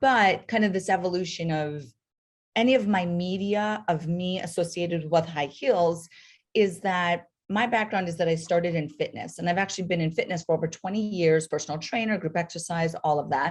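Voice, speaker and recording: A woman speaks at a fairly quick pace in a fairly low, somewhat breathy voice against a quiet background. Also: ordinary pitch variation. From North Dakota. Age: 40s. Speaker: podiatrist and entrepreneur. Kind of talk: interview podcast.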